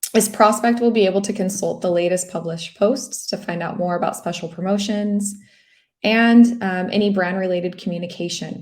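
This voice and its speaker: At a fairly quick pace, a woman talks with an American accent and a somewhat breathy voice. Her pitch is medium and her intonation fairly even. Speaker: local SEO expert presenting a webinar. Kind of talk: webinar presentation. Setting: online webinar.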